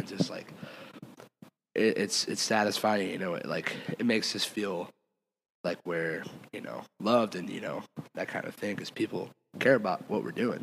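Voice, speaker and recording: A man speaks with an American accent in a plain, everyday voice. His pitch is fairly low with ordinary variation, and his pace is moderate. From Michigan, US. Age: 20s. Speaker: rock band singer and guitarist. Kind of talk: casual chat.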